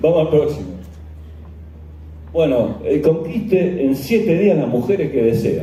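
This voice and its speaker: The speech comes with long, frequent pauses and very even loudness. Audible room echo and noticeable background noise are present. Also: man, fairly high pitch for a man, lively intonation, fairly slow pace. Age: 60s. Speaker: journalist and skeptic lecturer. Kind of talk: conference lecture. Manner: halting, many fillers.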